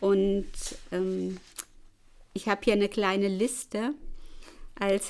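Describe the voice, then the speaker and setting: Recorded very cleanly against a silent background, a woman at a medium pitch speaks at a fairly slow pace. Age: 60s. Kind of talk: testimony.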